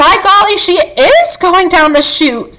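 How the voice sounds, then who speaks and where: Squeaky and extremely high-pitched, a woman puts on a character voice. She speaks at a fairly slow pace. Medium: read story. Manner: pompous, blustering.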